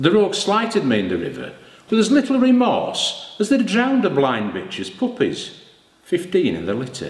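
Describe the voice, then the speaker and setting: Audible room echo surrounds the speaker, a man. He talks at a moderate pace. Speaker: actor auditioning. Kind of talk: theatrical monologue performance. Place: studio.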